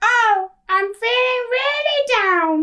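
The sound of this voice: Pitched extremely high, this put-on character voice is clearly an act.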